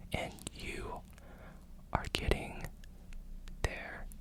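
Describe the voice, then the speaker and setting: The speech is whispered. Noticeable background noise is present as well. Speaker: ASMR creator. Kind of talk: ASMR personal attention affirmations. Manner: whispered, soft-spoken.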